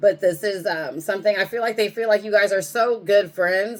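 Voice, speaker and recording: Talking at a fairly quick pace, a woman uses an ordinary speaking voice at medium pitch. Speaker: tarot reader. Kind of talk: tarot reading. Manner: casual, conversational.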